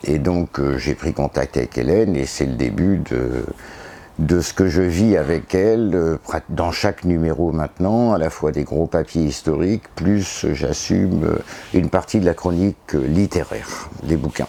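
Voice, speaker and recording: Ordinary pitch variation runs through delivery that unfolds at a fairly slow pace. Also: man, very deep, low pitch for a man. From northern France, Pas-de-Calais. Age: 60s. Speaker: historian and author. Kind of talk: interview. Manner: hesitant, many fillers.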